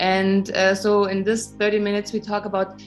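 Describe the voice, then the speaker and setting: A woman speaks with music in the background. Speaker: interfaith talk show host. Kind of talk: interview host questions.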